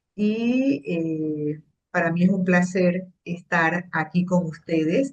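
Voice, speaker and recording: A woman speaks very slowly in a fairly low, somewhat breathy voice with ordinary pitch variation. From Panama. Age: 60s. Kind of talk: interview. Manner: hesitant, many fillers.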